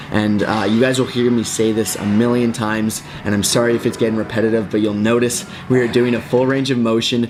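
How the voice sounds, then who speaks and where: Noticeable background noise sits behind a man's voice. He talks at a fairly quick pace with very even loudness. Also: medium pitch for a man. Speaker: fitness instructor. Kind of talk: tutorial. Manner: fast; casual, upbeat.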